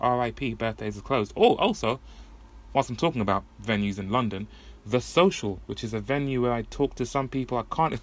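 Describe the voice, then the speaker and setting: A man with an English accent speaks at a moderate pace and medium pitch with ordinary pitch variation. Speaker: podcast host. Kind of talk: solo monologue. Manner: casual, rambling.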